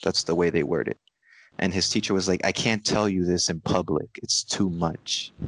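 With a very deep, low pitch and fairly even intonation, a man speaks at a moderate pace in a dry, close sound with no echo against a quiet background. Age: 20s. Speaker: meditation student. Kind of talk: casual chat.

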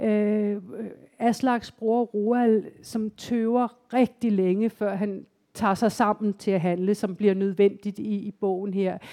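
A woman speaks very slowly in a dark, mellow tone with monotone, flat intonation, the sound dry and close with no echo. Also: medium pitch for a woman. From Denmark, Copenhagen area. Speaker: novelist. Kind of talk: live author interview. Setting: library stage with live audience.

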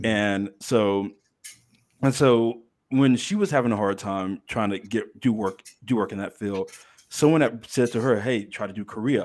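A man at a medium pitch has an ordinary speaking voice and an American accent. He keeps a moderate pace with ordinary pitch variation, in a very clean recording with a silent background. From Texas, Dallas-Fort Worth area. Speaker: former English teacher in Korea. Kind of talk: casual chat.

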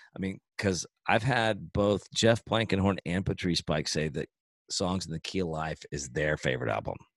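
A man speaks at a moderate pace with a very deep, low pitch, vocal fry and lively intonation. The sound is dry and close, with no echo. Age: 40s. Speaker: podcast host and musician. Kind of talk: casual chat.

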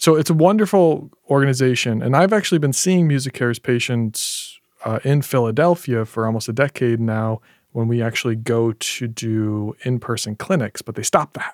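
With an unremarkable speaking voice at a medium pitch, a man talks at a moderate pace using lively intonation. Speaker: audiologist and podcast host. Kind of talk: casual chat.

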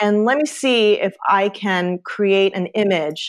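This is a woman speaking. She has a Midwestern US accent. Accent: US Midwest. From Ohio. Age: 50s. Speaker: artist and educator. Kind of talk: casual interview chat.

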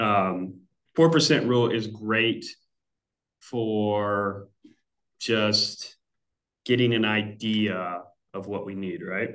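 Speaking at a very slow pace with long, frequent pauses, a man with a fairly low pitch is heard in audible room echo. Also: ordinary pitch variation. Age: 30s. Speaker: financial planner. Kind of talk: interview explainer. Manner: hesitant, many fillers.

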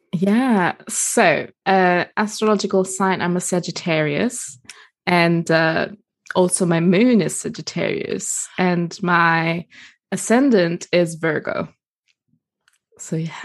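With an American accent, a woman speaks at a fairly low pitch and a very slow pace. Her pitch variation is ordinary. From Germany and Italy. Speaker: herbalist and women's circle facilitator. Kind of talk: casual interview chat.

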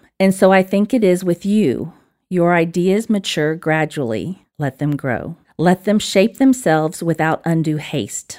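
A woman with an Alabama accent, fairly low in pitch, at a fairly slow pace, in a dry, close sound with no echo. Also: lively intonation, very clean recording, silent background. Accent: Southern US (Alabama). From Alabama, US South. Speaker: disciple maker and spiritual director. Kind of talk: casual interview chat, with a poem read aloud.

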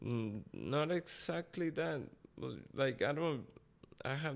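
In a Costa Rican accent, the speaker talks at a fairly slow pace with ordinary pitch variation. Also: man. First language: Spanish. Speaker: boxer. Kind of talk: casual interview chat.

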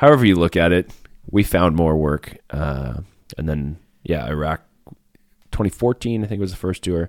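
A man speaks at a moderate pace with a western Canadian accent, his very deep, low pitch moving with ordinary variation, in a dry, close sound with no echo. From rural Alberta, Canada. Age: 40s. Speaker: former special forces sniper and country musician. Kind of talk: casual interview.

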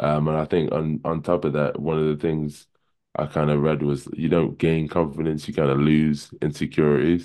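At a moderate pace, a man speaks with an extremely low pitch, little pitch movement and a dark, mellow tone.

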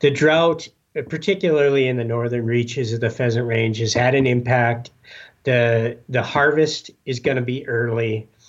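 A plain, everyday voice: a man with an American accent, medium pitch, moderate pace and fairly even intonation. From Upper Peninsula of Michigan. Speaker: conservation organization staffer. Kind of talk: interview.

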